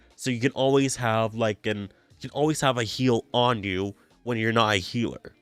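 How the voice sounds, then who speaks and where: Over music in the background, a man of medium pitch speaks at a moderate pace with fairly even intonation, the sound dry and close with no echo. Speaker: video game podcast host. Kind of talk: casual podcast commentary. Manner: halting, many fillers.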